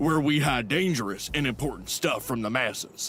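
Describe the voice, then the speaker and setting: In a put-on character voice, the speaker keeps a moderate pace, very even loudness and ordinary pitch variation. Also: man, fairly high pitch for a man. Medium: video game. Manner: dim, blustering.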